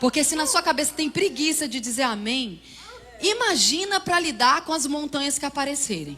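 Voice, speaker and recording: Raising and projecting her voice, a woman speaks at a high pitch with lively intonation over noticeable background noise. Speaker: preacher and Bible teacher. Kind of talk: sermon. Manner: fast.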